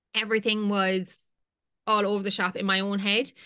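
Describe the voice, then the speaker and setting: Over a quiet background, a woman with a Limerick accent speaks at medium pitch in a bright, sharp tone. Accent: Irish (Limerick). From Ireland, County Limerick. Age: 20s. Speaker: fashion content creator. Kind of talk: casual chat.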